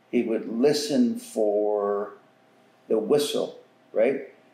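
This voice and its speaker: A man's voice carries audible room echo. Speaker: elder storyteller. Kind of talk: interview answer. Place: home room. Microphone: camera far.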